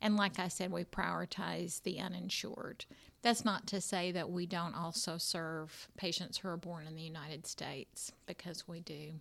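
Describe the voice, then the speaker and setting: On a very clean recording with a silent background, a woman with a fairly low pitch and vocal fry talks with hardly any pauses. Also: moderate pace. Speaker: clinic staff member at a refugee health ministry. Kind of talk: interview conversation. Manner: calm.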